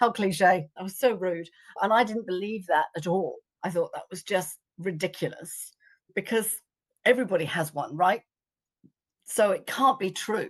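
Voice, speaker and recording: A woman with an English accent and medium pitch speaks in an animated tone at a moderate pace, with ordinary pitch variation and long, frequent pauses. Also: big swings in loudness. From England. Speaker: psychic arts teacher. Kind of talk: interview storytelling.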